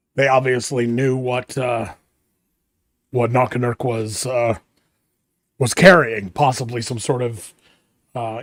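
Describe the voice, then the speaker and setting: Fairly slow, raspy speech in a put-on character voice. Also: man. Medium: actual play. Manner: measured, commanding.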